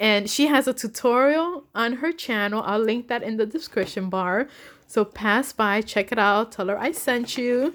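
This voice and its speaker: The speech moves at a moderate pace with ordinary pitch variation. The recording is very clean, with a silent background. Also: woman, fairly high pitch for a woman. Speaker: crafting vlogger. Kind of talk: casual vlog. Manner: giggly, laughing.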